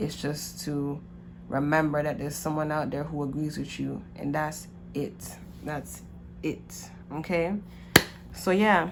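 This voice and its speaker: A woman speaks with long, frequent pauses. Audible room echo and noticeable background noise surround her voice. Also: fairly slow pace. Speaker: tarot card reader. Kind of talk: casual monologue to camera.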